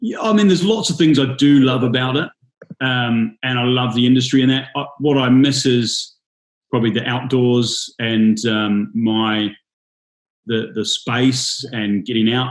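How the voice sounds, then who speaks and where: Here a man speaks with a New Zealand accent at a medium pitch. He goes at a fairly slow pace with ordinary pitch variation. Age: 30s. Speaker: bartender and drinks brand ambassador. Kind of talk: casual interview.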